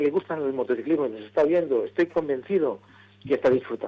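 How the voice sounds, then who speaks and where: A dark, mellow tone at a fairly quick pace. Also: man. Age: 70s. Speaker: motorsport promoter. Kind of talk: radio interview.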